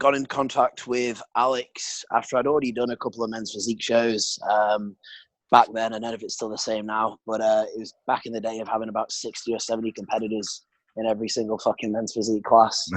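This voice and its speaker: A man with a British accent speaks at a very fast pace and medium pitch in monotone, flat intonation, the sound dry and close with no echo. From England. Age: 20s. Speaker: bodybuilder. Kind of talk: casual chat.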